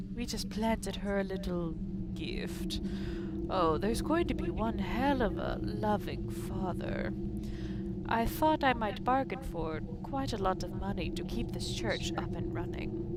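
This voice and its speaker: A husky put-on character voice at a moderate pace over loud background noise. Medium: game stream. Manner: pompous, gloating.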